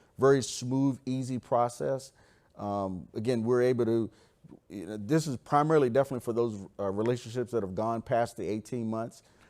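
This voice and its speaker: This is a man with a normal speaking voice. His pitch sits at a medium level and varies in an ordinary way. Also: very clean recording, silent background. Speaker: government program manager. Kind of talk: conference presentation.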